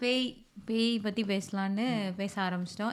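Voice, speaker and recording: Her pitch medium, a woman speaks with monotone, flat intonation. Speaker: podcast host. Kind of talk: casual podcast conversation.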